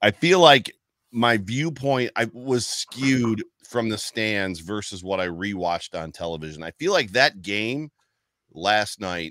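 A man's bright, sharp tone with lively intonation and big swings in loudness, at a fairly slow pace, in a dry sound with no echo against a quiet background. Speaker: podcast co-host. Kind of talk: casual sports talk. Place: home room. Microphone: studio mic.

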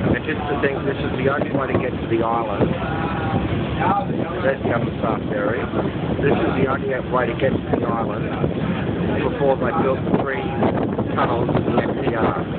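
Over loud background noise, the speaker moves at a moderate pace with long, frequent pauses. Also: man, dry sound with no echo. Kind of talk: casual travel commentary. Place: boat. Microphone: phone near.

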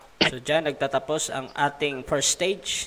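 A man talks at a fairly slow pace with fairly even intonation. Noticeable background noise runs behind him. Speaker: debate moderator, livestream admin. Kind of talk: livestream moderation. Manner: casual, laughing.

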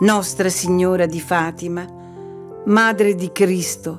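Music plays in the background while a woman speaks at a very slow pace. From Sicily, Italy. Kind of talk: devotional poetry reading. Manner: expressive.

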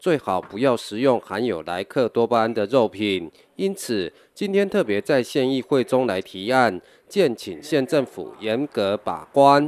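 A man's medium-pitched voice with very wide pitch swings and a fairly slow pace, dry and close with no echo, on a very clean recording with a silent background. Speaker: news reporter. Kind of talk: news report voiceover.

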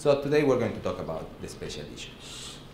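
Background noise is noticeable. The speech moves at a fairly quick pace. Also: man. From Mexico. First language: Spanish. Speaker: professor. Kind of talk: lecture. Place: classroom.

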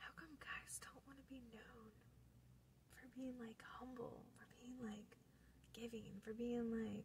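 A woman whispering at a very slow pace, with long, frequent pauses, big swings in loudness, and light background noise. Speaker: ASMR creator. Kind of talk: casual talk to camera. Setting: in a car. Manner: whispered. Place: car. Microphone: phone near.

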